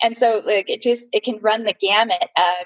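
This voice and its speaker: This is a normal speaking voice from a woman with an American accent. She keeps a moderate pace and fairly even intonation in a dry, close sound with no echo. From California, San Jose. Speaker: entrepreneur, fundraising business owner. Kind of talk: interview.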